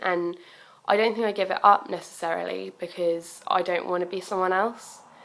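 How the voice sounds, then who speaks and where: A woman speaks with a southern English accent. The recording is very clean with a silent background. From southern England, Bournemouth. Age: 20s. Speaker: student and young mother. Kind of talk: personal video message, testimony. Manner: hesitant, many fillers.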